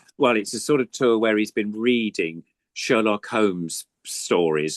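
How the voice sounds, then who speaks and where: Lively intonation marks this voice with an English accent. The sound is dry and close with no echo, against a quiet background. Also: man. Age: 70s. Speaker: puppeteer. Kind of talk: casual chat.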